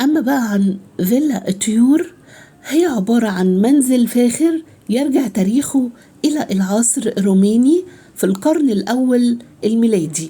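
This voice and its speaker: In an Egyptian accent, a woman talks at a fairly slow pace with a fairly high pitch and lively intonation. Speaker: travel vlogger. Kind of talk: guided tour vlog. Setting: outdoors at archaeological site. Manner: hesitant, many fillers.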